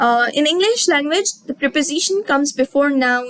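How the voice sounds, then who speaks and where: In a Sindhi accent, a woman speaks at a moderate pace with a high pitch, the sound dry and close with no echo. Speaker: teacher. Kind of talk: lecture. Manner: halting.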